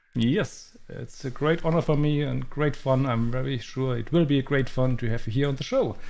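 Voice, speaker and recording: Medium-pitched male voice with a German accent, fairly even intonation, a moderate pace and hardly any pauses, in a room with audible echo. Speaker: backgammon streamer. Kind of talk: live stream interview. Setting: live stream.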